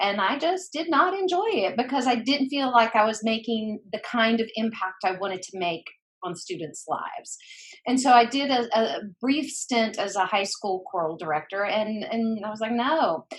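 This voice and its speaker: Somewhat breathy and at a moderate pace, a woman with an American accent talks at a fairly high pitch with very wide pitch swings. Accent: Southern accent, hosts say they hear it. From US South, mountains of North Carolina (Boone). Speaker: former school counselor and educator. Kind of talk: interview. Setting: podcast interview.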